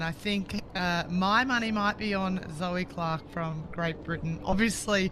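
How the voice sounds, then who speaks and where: Speaking with a strong Australian accent, a woman keeps a medium pitch and fairly even intonation at a moderate pace. Noticeable background noise can be heard. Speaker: sports commentator, former paddler. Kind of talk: live commentary.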